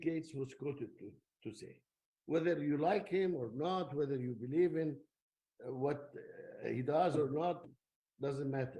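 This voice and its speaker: A man speaks with a dark, mellow tone at a fairly high pitch. His voice is somewhat breathy, with ordinary pitch variation. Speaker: technology lecturer. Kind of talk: lecture.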